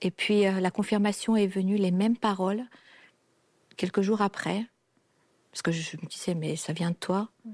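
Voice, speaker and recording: Speaking at a fairly slow pace with fairly even intonation, a woman leaves long, frequent pauses in a very clean recording with a silent background. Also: medium pitch for a woman. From a communist country. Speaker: guest sharing personal story. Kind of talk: testimony.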